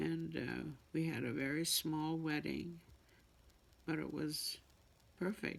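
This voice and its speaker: With a Canadian Prairies accent, a woman speaks at a very slow pace with long, frequent pauses and very even loudness. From Manitoba, Canada. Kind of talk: interview answer.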